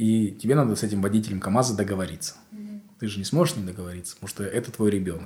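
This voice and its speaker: A man with a fairly low pitch and ordinary pitch variation talks at a very fast pace, somewhat breathy, with big swings in loudness. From Kazakhstan, East Kazakhstan region. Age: 20s. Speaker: comedian and showrunner. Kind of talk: casual chat.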